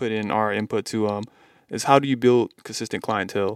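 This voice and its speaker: A man's voice, dry and close with no echo, on a very clean recording over a silent background. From Mississippi, US South. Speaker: podcast host, tattoo artist. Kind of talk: casual chat. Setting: studio.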